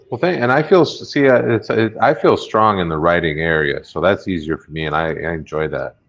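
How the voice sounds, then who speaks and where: A man's fairly quick speech with big swings in loudness and hardly any pauses. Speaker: stand-up comedian. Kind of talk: casual chat. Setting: live stream.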